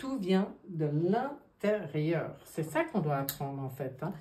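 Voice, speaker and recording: Amid audible room echo, a woman with a dark, mellow tone and a somewhat breathy voice speaks at a very slow pace with very wide pitch swings. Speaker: tarot card reader. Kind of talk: card reading monologue. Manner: animated.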